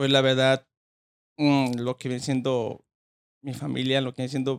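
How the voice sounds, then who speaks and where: A man at medium pitch speaks with monotone, flat intonation in a dry, close sound with no echo. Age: 20s. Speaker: boxing trainer. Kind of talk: interview.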